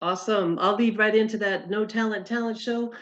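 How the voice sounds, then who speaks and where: This is a normal speaking voice, a woman at a medium pitch. She keeps a moderate pace and fairly even intonation. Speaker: convention committee member. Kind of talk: online meeting presentation. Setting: video call.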